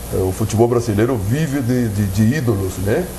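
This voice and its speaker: Amid noticeable background noise and audible room echo, a man speaks at a fairly low pitch. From Uruguay, Brazilian border. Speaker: football coach. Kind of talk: TV sports debate. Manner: hesitant, many fillers.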